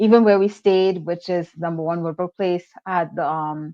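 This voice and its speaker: A woman with an American accent speaks at a moderate pace in a fairly low pitch, her intonation monotone and flat. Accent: switches between Trinidadian and American. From Trinidad and Tobago. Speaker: travel content creator. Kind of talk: interview.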